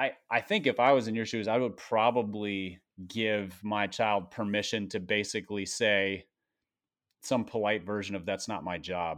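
Over a quiet background, a man with an American accent talks at a moderate pace in a plain, everyday voice, with a fairly low pitch and fairly even intonation. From US Midwest, Minnesota. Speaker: pastor and author. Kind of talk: casual interview.

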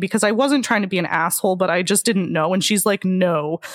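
A woman's medium-pitched voice at a very fast pace over noticeable background noise. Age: 20s. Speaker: podcast host and sex worker. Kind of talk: casual interview chat.

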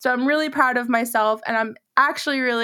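A woman's bright, sharp voice moves at a fairly quick pace with fairly even intonation. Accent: American. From Massachusetts. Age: 20s. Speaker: podcast host and content creator. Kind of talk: personal storytelling monologue.

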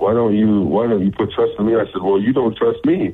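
A man with an American accent speaks in a passionate tone at medium pitch, keeping a moderate pace and ordinary pitch variation. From Utah. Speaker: professional football player. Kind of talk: interview. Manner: halting, many fillers; loud and passionate.

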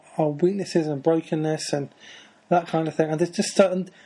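A man with a British accent speaks in a fairly high pitch, his dark, mellow tone and fairly even intonation set against a quiet background. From Britain. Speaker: podcast host. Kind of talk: casual interview chat.

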